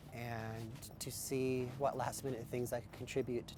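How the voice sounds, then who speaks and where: Speaking at a moderate pace in an American accent, a man keeps a medium pitch and monotone, flat intonation, with audible echo from the room. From Nebraska, US. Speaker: activist at protest camp. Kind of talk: documentary interview.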